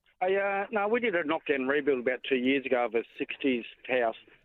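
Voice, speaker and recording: A man with an Australian accent, fairly quick in pace, with ordinary pitch variation. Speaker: caller, homeowner. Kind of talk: phone-in call. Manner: halting.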